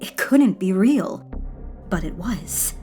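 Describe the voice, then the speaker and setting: Music plays in the background. Over it, a woman talks at a very slow pace. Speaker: horror story narrator. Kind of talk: horror story narration.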